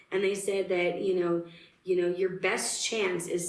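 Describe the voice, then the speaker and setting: Audible room echo surrounds a woman with a fairly low pitch who speaks at a moderate pace with monotone, flat intonation. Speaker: singer in a country-blues band. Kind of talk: interview, personal story. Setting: radio station studio.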